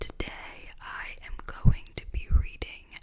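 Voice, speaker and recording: Over noticeable background noise, the words come in a very slow whisper. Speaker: ASMR audiobook reader. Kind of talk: casual talk to camera. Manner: whispered.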